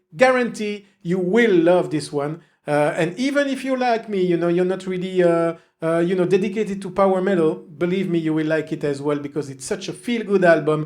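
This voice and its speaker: A man speaks with a French accent in a high pitch with ordinary pitch variation. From French-speaking southern Belgium. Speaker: music reviewer. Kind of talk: casual album review monologue. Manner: hesitant, many fillers.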